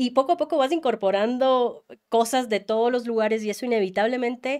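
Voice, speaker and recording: Quickish and at a high pitch, a woman talks at a fairly quick pace with ordinary pitch variation in a very clean recording with a silent background. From Ecuador. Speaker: journalist. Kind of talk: interview conversation.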